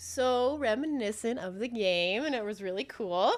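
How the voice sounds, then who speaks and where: A normal speaking voice from a woman, fairly high-pitched, ordinary in pitch variation, at a fairly slow pace. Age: 30s. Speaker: game show reviewer streamer. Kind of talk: live stream review, casual chat. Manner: casual, filler-heavy.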